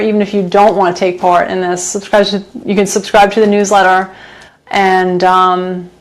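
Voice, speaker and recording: Over noticeable background noise, a woman speaks at a moderate pace. Her intonation is monotone and flat. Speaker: home cook and cooking channel host. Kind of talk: live stream cooking chat. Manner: loud; hesitant, many fillers.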